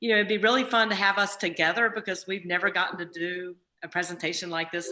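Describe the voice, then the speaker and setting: A woman's ordinary speaking voice with an American accent, a fairly quick pace and ordinary pitch variation. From southern Virginia, US. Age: 60s. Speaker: racetrack owner and CEO. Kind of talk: casual storytelling on video call. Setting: video call.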